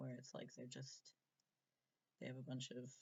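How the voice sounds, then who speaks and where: This man talks at a moderate pace in a medium pitch, with a somewhat breathy voice. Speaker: transgender vlogger. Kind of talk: casual vlog Q&A. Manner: hesitant, many fillers.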